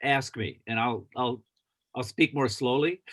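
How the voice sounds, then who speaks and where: The intonation is lively. The pace is fairly slow. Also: man. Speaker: guest lecturer. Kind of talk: casual chat. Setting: video call. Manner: halting.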